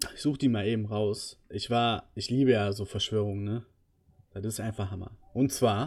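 Speaking at a moderate pace, a man with a fairly low, somewhat breathy voice keeps his intonation fairly even on a very clean recording with a silent background. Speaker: gaming podcast host. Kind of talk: casual chat.

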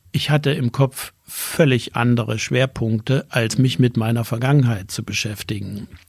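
A man speaks at a moderate pace with hardly any pauses, his medium-pitched voice somewhat breathy with ordinary pitch variation, on a very clean recording with a silent background. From East Germany, Erzgebirge (Saxony). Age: 70s. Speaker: retired business association executive. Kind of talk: interview.

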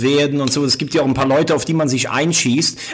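This man's voice sits fairly high. His intonation is fairly even, with noticeable background noise behind him. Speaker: sports journalist. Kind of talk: casual interview chat.

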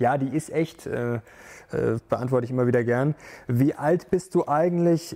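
This man's tone is dark and mellow, at a medium pitch. His pace is moderate. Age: 30s. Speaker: finance YouTuber. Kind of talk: Q&A video monologue. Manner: animated.

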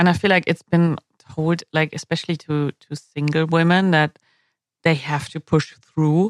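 A woman with a German accent speaks in a very deep, low pitch with fairly even intonation. The sound is dry and close, with no echo. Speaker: podcast host. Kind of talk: casual interview.

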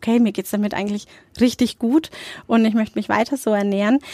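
This is a woman speaking. Her voice sits fairly high in pitch. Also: dry, close sound with no echo. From Nuremberg, Franconia (Germany). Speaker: entrepreneur and food blogger. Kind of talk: interview.

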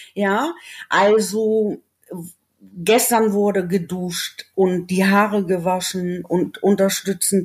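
A woman speaks at a very slow pace. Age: 40s. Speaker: former paramedic with long covid. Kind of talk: interview. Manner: halting, word-finding pauses.

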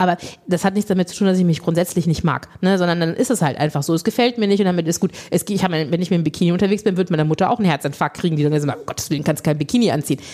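A woman's fairly low voice at a very fast pace, hardly any pauses, over noticeable background noise. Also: ordinary pitch variation. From Lower Rhine, Germany. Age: 40s. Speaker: body positivity coach and beauty pageant organiser. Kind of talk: casual chat.

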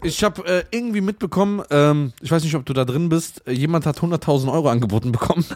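A man with a fairly high pitch speaks at a very fast pace with hardly any pauses and lively intonation. Noticeable background noise can be heard. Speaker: podcast host. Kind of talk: casual banter, comedic roasting chat.

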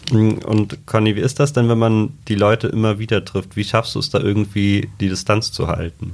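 A man with an ordinary speaking voice and fairly low pitch talks at a moderate pace with hardly any pauses. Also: fairly even intonation. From Trier. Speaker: podcast host, journalist. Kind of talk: casual interview.

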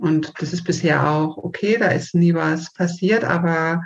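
A somewhat breathy voice speaks at a fairly slow pace with fairly even intonation. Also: woman. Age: 30s. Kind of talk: interview.

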